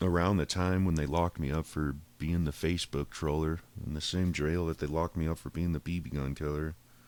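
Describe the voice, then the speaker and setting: With an American accent, a man speaks at a fairly quick pace in a very deep, low pitch, with fairly even intonation. The recording is very clean, with a silent background. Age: 30s. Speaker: podcaster. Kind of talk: personal monologue, life story. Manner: casual, profane, rambling speech.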